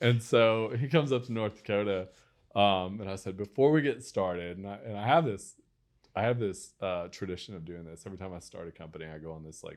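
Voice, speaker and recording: A man shouts out at a very fast pace with an American accent and lively intonation. His loudness swings widely against a quiet background. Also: fairly low pitch for a man. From West Texas. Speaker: entrepreneur. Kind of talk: interview storytelling. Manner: animated, many fillers and restarts.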